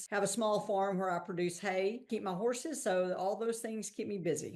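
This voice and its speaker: In a Texan accent, a woman speaks at a medium pitch and moderate pace with ordinary pitch variation. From Texas. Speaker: investment fund founder. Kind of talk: podcast interview.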